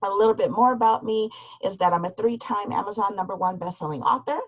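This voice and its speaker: A woman with an American accent, in a dry, close sound with no echo. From US Midwest, suburb of Cleveland, Ohio. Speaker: business coach and author. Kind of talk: webinar presentation. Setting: online webinar.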